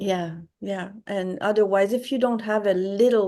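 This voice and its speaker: A woman speaks fairly slowly with a Quebec accent at a medium pitch. Behind her, the background is quiet. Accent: French-Canadian (Quebec). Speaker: watercolor artist. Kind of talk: interview. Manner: halting.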